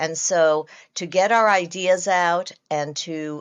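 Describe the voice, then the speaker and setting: A normal speaking voice, its pitch varying in a usual way. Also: woman. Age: 50s. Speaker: actress and producer. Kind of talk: interview.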